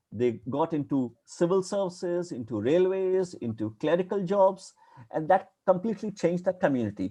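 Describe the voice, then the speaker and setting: A man with a strong Indian accent speaks at a high pitch in a dark, mellow tone. His intonation is lively and his pace moderate. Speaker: academic historian lecturer. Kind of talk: lecture.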